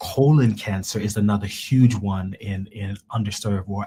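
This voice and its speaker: The voice belongs to a man and sounds somewhat breathy. Its tone is dark and mellow. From Jamaica. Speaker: cancer researcher. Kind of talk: interview. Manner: halting, many repetitions.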